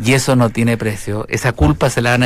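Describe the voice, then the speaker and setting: Using an unremarkable speaking voice, a man talks at a fairly quick pace and a medium pitch with ordinary pitch variation. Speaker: radio host. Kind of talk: casual chat.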